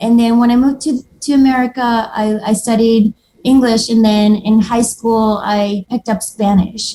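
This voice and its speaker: A woman's fairly high, somewhat breathy voice with a dark, mellow tone, monotone, flat intonation and a moderate pace. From Moldova. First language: Moldovan and Russian. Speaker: watercolor artist. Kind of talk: casual interview chat.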